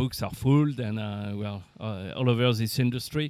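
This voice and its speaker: In a French accent, a man speaks at a fairly slow pace, his pitch medium and his intonation fairly even. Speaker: aircraft manufacturer representative. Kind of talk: interview. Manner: halting, many fillers.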